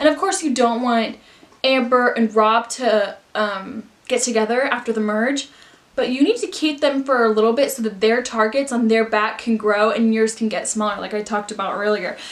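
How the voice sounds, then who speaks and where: A woman's fairly high voice shows ordinary pitch variation amid noticeable background noise. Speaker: youtuber. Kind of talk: casual chat. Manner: fast; animated.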